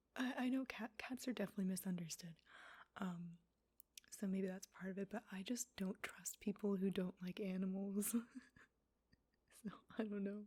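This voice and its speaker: A woman speaks softly at a moderate pace, her tone dark and mellow. Her voice is somewhat breathy, with fairly even intonation. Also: medium pitch for a woman. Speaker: ASMR creator. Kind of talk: soft-spoken ASMR commentary. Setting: stereo microphone, ear to ear. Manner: soft-spoken, casual, snarky.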